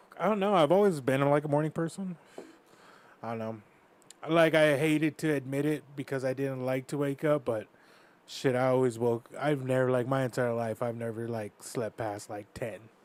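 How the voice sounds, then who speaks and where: A man with an American accent uses a plain, everyday voice of medium pitch, speaking at a moderate pace with ordinary pitch variation. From US, Northern Cheyenne reservation, Montana. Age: 20s. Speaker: mixed martial arts fighter. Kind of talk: casual chat.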